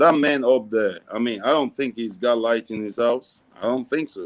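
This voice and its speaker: Ordinary pitch variation marks a man with an American accent speaking at a moderate pace and medium pitch. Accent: American with Nigerian roots. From Nigeria, raised mostly in the US. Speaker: philanthropist. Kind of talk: interview.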